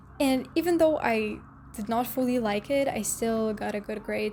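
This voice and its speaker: Fairly slow, fairly high-pitched speech from a woman, music playing in the background. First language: not English (English is third language). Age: young. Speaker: dental hygiene student, vlogger. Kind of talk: casual advice vlog.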